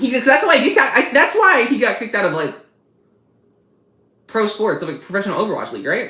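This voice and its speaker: A loud, high-pitched woman at a very fast pace, with long, frequent pauses and audible room echo. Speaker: streamer. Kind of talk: live stream chat.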